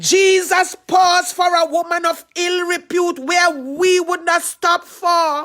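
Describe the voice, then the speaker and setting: A woman's extremely high, bright and sharp voice in a Trinidadian accent, monotone and flat, at a very slow pace with hardly any pauses. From Trinidad and Tobago. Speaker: pastor. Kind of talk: sermon.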